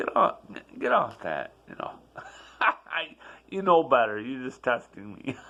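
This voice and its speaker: There is noticeable background noise as a man speaks. His pace is fairly slow, with long, frequent pauses. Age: 60s. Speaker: vlogger sharing personal life reflections. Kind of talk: personal vlog monologue. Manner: conversational, with repetitions and fillers.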